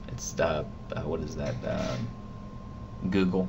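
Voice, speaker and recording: Over noticeable background noise and audible room echo, a man mumbles in a very deep, low pitch. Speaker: vlogger. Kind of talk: casual vlog monologue. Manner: mumbling; halting.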